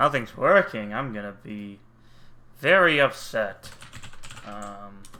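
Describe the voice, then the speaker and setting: In an American accent, a man speaks loudly at a fairly low pitch with a bright, sharp tone, ordinary pitch variation and a very slow pace broken by long, frequent pauses. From United States. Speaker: streamer. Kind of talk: casual chat.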